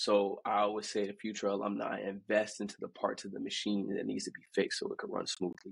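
A man with an American accent at a very fast pace, with hardly any pauses. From New Jersey. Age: 20s. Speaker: college student and clothing brand founder. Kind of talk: podcast interview.

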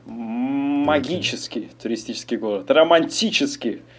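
Mid-range male tones with normal pitch movement. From Kazakhstan, Almaty. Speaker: podcast co-host, immigrant construction worker. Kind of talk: casual chat. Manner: animated.

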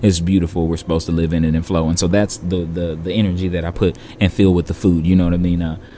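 A man with a very deep, low pitch and an American accent, speaking with hardly any pauses over noticeable background noise. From California. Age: 30s. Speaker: restaurant owner. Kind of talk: casual interview. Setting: on-site recording at restaurant.

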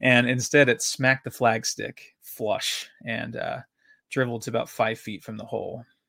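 A man with an American accent talks at a moderate pace, his loudness swinging widely. The recording is very clean, with a silent background. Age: 30s. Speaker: podcast host, golf amateur. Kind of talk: personal storytelling monologue. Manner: halting, many fillers and repetitions.

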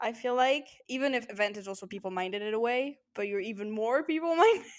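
In a French accent, a woman talks at a high pitch, with very wide pitch swings and big swings in loudness. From France. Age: 20s. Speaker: podcast co-host. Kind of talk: casual chat.

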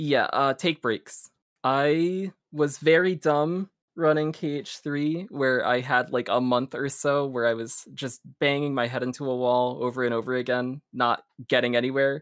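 A man with an American accent and fairly high pitch at a fairly slow pace, fairly even intonation, dry, close sound with no echo. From US Northeast, New Jersey. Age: 20s. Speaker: speedrunner. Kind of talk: casual interview chat. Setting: live stream.

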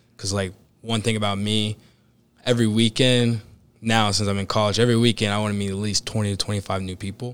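A fairly low-voiced man with an American accent at a very fast pace, on a very clean recording with a silent background. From US Midwest (Cincinnati, Ohio). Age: 20s. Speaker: new financial advisor, college student. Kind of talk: interview podcast conversation. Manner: energetic.

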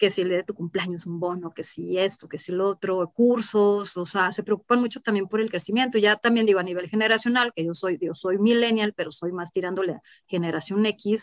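A woman speaks with an ordinary speaking voice at medium pitch, at a fairly quick pace with hardly any pauses and fairly even intonation, in a dry, close sound with no echo. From Mexico, Mexico City and Guadalajara. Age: 30s. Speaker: marketing director. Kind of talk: interview.

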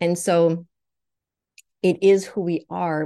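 In a Swedish accent, the speaker keeps a fairly even intonation against a quiet background. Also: woman. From Sweden. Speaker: naturopathic doctor, psychic medium. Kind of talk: personal testimony.

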